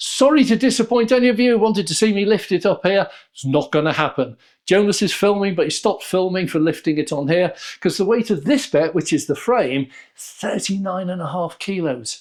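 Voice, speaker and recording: A man with a British accent, high-pitched and lively in intonation, at a fairly quick pace in a very clean recording with a silent background. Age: 70s. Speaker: YouTuber, product reviewer. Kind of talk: unboxing review. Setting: home studio.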